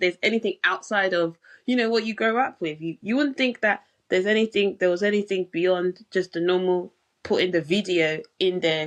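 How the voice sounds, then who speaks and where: A woman with a British accent, ordinary pitch variation and a moderate pace. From England, London. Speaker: pharmacist and health coach. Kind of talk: podcast interview. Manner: hesitant, many fillers.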